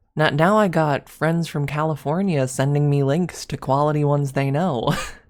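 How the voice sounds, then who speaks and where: With an Upper Midwest accent, a woman with a very deep, low pitch speaks at a moderate pace and fairly even intonation. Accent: Upper Midwest American. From US Midwest, Michigan. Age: 20s. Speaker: ASMR streamer. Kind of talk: casual livestream chat. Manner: halting, many repetitions.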